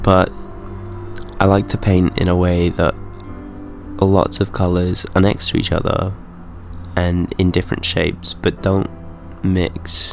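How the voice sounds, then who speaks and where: With music in the background, a man speaks at a fairly slow pace in a very deep, low pitch, his intonation monotone and flat, broken by long, frequent pauses. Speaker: artist. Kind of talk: casual voice-over narrating art process. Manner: sniffing; hesitant, many filler words.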